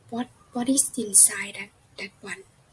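A woman's voice over noticeable background noise. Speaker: student. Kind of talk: class video presentation. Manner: hesitant, many fillers.

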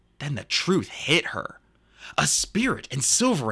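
The speaker is doing plain reading aloud. Nothing more is marked about the delivery.

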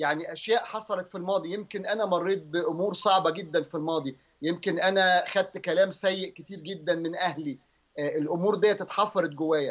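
The man's voice sits at a high pitch, with fairly even intonation. He keeps a moderate pace with hardly any pauses against a quiet background. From Egypt. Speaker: pastor. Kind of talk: religious teaching on TV.

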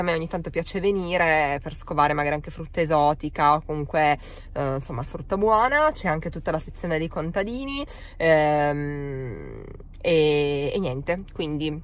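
Recorded dry with no echo, a woman with a very deep, low voice speaks at a moderate pace with ordinary pitch variation. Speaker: vlogger. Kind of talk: casual vlog chat. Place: car. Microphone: phone near.

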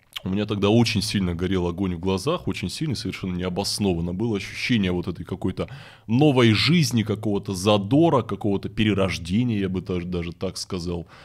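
Against a quiet background, a man speaks fairly quickly with a fairly low pitch. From Russian Far East (Vladivostok). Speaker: event host and forum founder; event host. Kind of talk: casual interview chat. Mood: relaxed, reflective storytelling. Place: studio. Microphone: studio mic.

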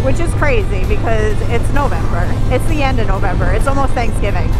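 Loud music plays in the background as a woman speaks in a dry sound with no echo. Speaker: motorcycle vlogger. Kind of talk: casual vlog chat. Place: motorbike.

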